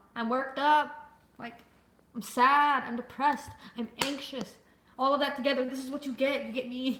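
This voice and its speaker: A loud, high-pitched woman's voice in a flat monotone, with long, frequent pauses and noticeable background noise. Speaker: livestreamer. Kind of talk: casual chat. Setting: livestream with chat. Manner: fast.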